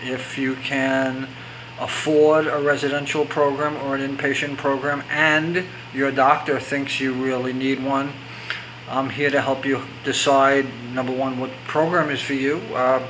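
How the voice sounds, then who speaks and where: With noticeable background noise and audible room echo, a man speaks fairly high and fairly slowly in a monotone, flat intonation. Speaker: recovery coach. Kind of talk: extemporaneous talk to camera. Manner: halting, with stammers and restarts; unscripted, conversational.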